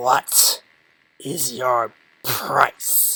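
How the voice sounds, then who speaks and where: A man puts on a growling character voice at a medium pitch. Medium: read story. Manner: commanding, menacing.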